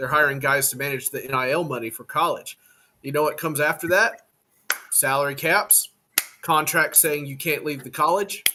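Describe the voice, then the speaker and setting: Speaking at a moderate pace, a man has a normal speaking voice with a fairly high pitch and ordinary pitch variation. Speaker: podcast guest, Tennessee Titans fan. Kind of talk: casual sports podcast conversation.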